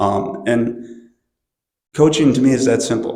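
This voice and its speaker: Recorded with audible room echo, a man speaks at a medium pitch with ordinary pitch variation. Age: 60s. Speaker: swim and football coach. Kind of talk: panel discussion. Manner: casual.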